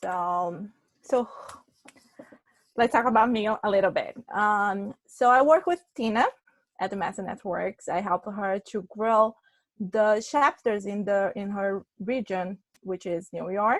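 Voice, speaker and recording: Someone with a Brazilian accent speaks at a very slow pace with ordinary pitch variation, in a dry, close sound with no echo. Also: woman, medium pitch for a woman. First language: Portuguese. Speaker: public relations consultant. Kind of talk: webinar presentation.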